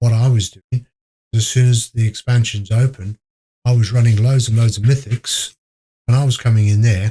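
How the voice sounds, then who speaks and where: Quiet and somewhat breathy, a man's dark, mellow voice holds a medium pitch with monotone, flat intonation and very even loudness at a moderate pace, in a dry, close sound with no echo. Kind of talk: podcast interview answer. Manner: very quiet.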